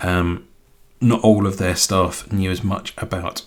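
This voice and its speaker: With a southern English accent, a man speaks at a moderate pace in a very deep, low pitch that is somewhat breathy. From southern England, near London. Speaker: tech live streamer. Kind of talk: casual chat on live stream. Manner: halting, many fillers.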